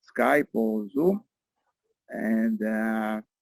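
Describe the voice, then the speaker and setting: The man's voice sits at a medium pitch and shows ordinary pitch variation. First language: Hebrew. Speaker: meeting facilitator. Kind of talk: online group meeting. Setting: video call from a beach camp. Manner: halting.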